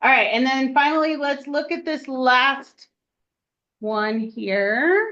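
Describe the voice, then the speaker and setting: Loud and bright with a sharp tone, a woman speaks at a fairly slow pace in a high pitch with lively intonation. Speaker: math teacher. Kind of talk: classroom lesson.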